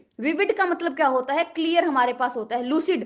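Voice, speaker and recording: Her intonation lively, a woman speaks. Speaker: vocabulary teacher. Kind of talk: online lecture.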